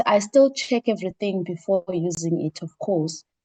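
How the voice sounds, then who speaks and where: A woman speaks with a non-native accent. The sound is dry and close with no echo. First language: not English. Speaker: research training participant. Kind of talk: online workshop discussion.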